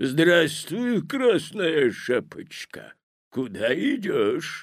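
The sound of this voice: Using a put-on character voice, a woman speaks very slowly at a low pitch, hoarse and with big pitch swings, in a very clean recording with a silent background.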